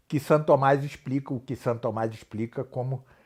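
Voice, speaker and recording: Somewhat breathy, a man speaks at a moderate pace. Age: 60s. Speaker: professor of philosophy and theology. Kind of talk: interview. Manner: halting.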